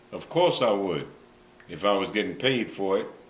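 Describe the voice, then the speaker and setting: Fairly slow, fairly low-pitched speech from a man, with audible room echo. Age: 70s. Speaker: former hitman. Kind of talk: interview answers.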